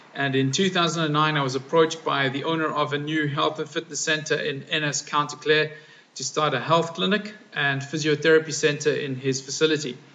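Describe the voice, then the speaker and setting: Noticeable background noise sits behind this man. He talks at a fairly quick pace with a fairly high pitch. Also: fairly even intonation. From South Africa. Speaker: physiotherapist. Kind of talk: personal video statement. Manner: formal.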